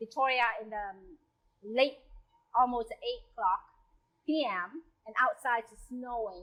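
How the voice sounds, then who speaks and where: A woman speaks at a fairly slow pace in a high voice with a bright, sharp tone. Her intonation is lively. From South Vietnam. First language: Vietnamese. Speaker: home cook sharing migration story. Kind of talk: personal storytelling. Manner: halting.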